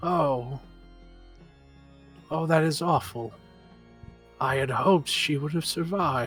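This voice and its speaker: A put-on character voice at middle pitch moves at a fairly slow pace with long, frequent pauses, while clear music plays in the background. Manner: sorrowful, regretful.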